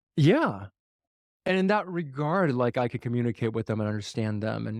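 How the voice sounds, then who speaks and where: The man's voice is captured in a very clean recording with a silent background and a dry, close sound with no echo. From US, Chinese immigrant family. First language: Mandarin. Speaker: podcast host. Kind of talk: interview conversation. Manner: casual, filler-heavy.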